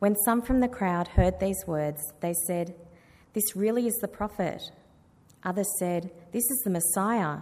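Speaking at a fairly slow pace with long, frequent pauses, a woman uses a medium pitch, ordinary pitch variation and a dark, mellow tone. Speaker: scripture reader at church service. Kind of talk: reading aloud. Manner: dramatic.

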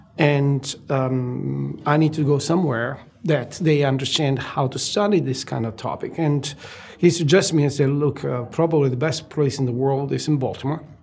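A man with an Italian accent speaks in a fairly high voice with fairly even intonation. Noticeable background noise sits behind him. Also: moderate pace. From southern Italy (Naples). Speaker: medical researcher, gastroenterologist. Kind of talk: interview. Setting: studio. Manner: hesitant, with many fillers.

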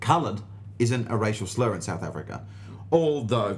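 Somewhat breathy, the voice goes at a fairly quick pace with ordinary pitch variation. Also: man. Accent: Australian. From Australia. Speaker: stand-up comedian. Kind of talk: casual chat. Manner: animated.

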